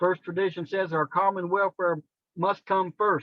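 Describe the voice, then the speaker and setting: A man with an American accent and a high pitch. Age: 60s. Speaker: recovering addict sharing at a support meeting. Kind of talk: testimony. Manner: casual, earnest.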